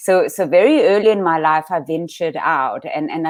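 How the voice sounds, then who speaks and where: With a Danish accent, a woman speaks at a fairly quick pace in a fairly low pitch. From Denmark. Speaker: life coach. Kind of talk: interview.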